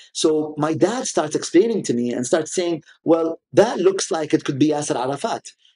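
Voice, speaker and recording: In an Arabic accent, a man talks at a moderate pace with a fairly high pitch, a dark, mellow tone and lively intonation. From UAE, Sharjah. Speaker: art collector. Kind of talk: interview.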